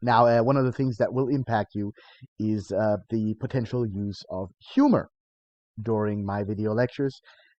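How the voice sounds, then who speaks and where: A man's medium-pitched voice at a moderate pace, fairly even in intonation, with a dry, close sound and no echo. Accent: German. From Germany. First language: German. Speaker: college lecturer. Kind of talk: recorded course introduction lecture. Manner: hesitant, many filler sounds; light, humorous.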